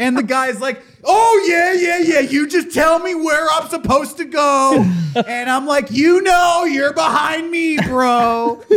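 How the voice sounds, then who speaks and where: Amid noticeable background noise, a man speaks at an extremely high pitch with ordinary pitch variation. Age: 30s. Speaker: comedy podcast host. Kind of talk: casual chat.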